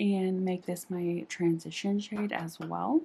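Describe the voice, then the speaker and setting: A somewhat breathy woman's voice, dark and mellow in tone, at a fairly slow pace. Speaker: beauty youtuber. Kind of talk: makeup tutorial. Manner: casual, hesitant.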